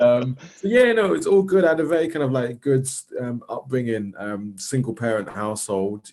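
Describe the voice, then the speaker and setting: A man with a South London accent and ordinary pitch variation. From South London, England. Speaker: social worker and arts organiser. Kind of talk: casual interview chat.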